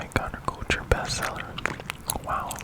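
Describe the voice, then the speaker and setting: Over noticeable background noise, a man's whispering proceeds at a moderate pace. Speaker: ASMR creator. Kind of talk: true crime story reading while chewing gum.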